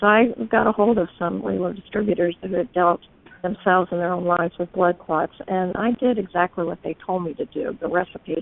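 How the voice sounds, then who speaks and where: A woman with an unremarkable speaking voice speaks at a moderate pace, her fairly low pitch carrying fairly even intonation. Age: 60s. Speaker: testimonial speaker. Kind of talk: testimony.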